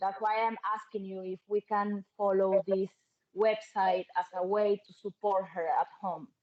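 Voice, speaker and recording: Spoken at a fairly slow pace with a Spanish accent, the voice has monotone, flat intonation and a dry, close sound with no echo. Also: woman, medium pitch for a woman. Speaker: parent. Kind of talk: online Q&A question. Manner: halting.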